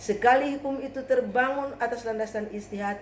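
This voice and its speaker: With audible room echo and noticeable background noise, a woman speaks at a moderate pace. Her voice is fairly high, with ordinary pitch variation. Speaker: graduate student presenting a paper. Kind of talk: academic presentation. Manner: formal.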